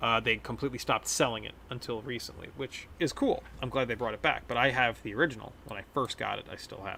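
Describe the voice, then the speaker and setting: Speaking at a very fast pace with hardly any pauses, a man with an American accent has a medium pitch and a bright, sharp tone with vocal fry. His intonation is fairly even, while his loudness swings widely. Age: 30s. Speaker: gaming streamer. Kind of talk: casual gameplay commentary.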